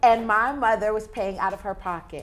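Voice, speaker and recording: The recording is very clean, with a silent background. A woman speaks with a fairly high pitch. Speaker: voice-over actress. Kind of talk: casual conversational interview answer. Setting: studio interview, talk show. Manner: animated, expressive, playful banter.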